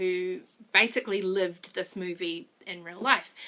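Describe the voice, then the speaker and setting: Here a woman speaks with a New Zealand accent at a moderate pace. Her tone is bright and sharp. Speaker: movie reviewer vlogger. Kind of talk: video review monologue.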